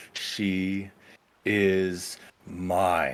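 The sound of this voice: A booming, put-on character voice delivers its lines with fairly even intonation. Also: man.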